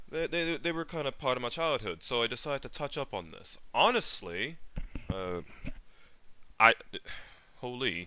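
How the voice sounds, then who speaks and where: Over a silent background in a very clean recording, a man with a medium pitch and a bright, sharp tone talks at a moderate pace, his pitch swinging very widely between long, frequent pauses. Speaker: streamer reacting to videos. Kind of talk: live-stream reaction commentary. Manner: halting, many fillers.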